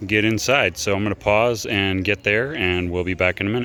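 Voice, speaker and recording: The man's pitch sits fairly low. His intonation stays fairly even. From Texas. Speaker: DIY tutorial maker. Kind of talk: tutorial. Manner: casual, halting with fillers.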